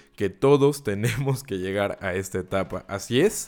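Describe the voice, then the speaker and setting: With a Mexican accent, a man speaks in an animated tone. His pitch varies by an ordinary amount. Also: very clean recording, silent background. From Mexico, Córdoba, Veracruz. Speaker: podcaster and photographer. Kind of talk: solo podcast monologue.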